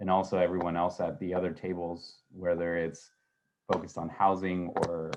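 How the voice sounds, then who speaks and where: A man's very deep, low-pitched voice. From Mexico. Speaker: policy advocate at nonprofit. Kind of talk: panel discussion. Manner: halting, many fillers.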